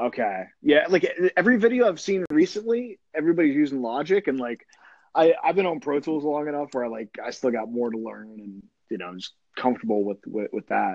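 Very wide pitch swings along with big swings in loudness. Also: man, fairly high pitch for a man, fairly quick pace. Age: 30s. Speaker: podcast host. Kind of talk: casual phone interview. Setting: phone call.

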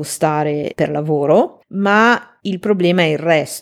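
On a very clean recording with a silent background, a woman speaks in an ordinary speaking voice, fairly low in pitch, with ordinary pitch variation. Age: 40s. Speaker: translator and podcast host. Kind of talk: solo podcast talk.

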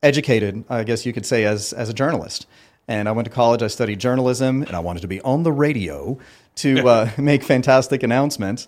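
A man's unremarkable speaking voice at a medium pitch, on a very clean recording with a silent background. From Ottawa, Canada. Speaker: sports company founder. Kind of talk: casual interview chat.

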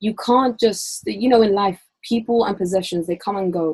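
A woman with a London accent speaks at medium pitch and a moderate pace. Her tone is dark and mellow, with fairly even intonation. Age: 20s. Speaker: university student. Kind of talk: casual chat.

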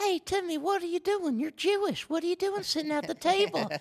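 A put-on character voice at an extremely high pitch runs at a fairly quick pace. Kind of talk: colloquial.

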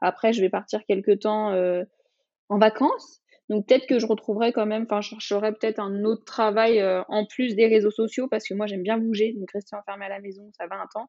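A woman speaks at a fairly high pitch with monotone, flat intonation and big swings in loudness. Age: 20s. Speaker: social media influencer and mother. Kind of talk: interview testimony.

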